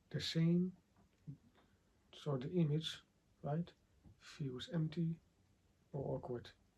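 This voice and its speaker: Quiet and very slow, a man with a dark, mellow tone and fairly high pitch speaks with ordinary pitch variation and long, frequent pauses. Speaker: 3D visualization coach. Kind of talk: tutorial. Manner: halting.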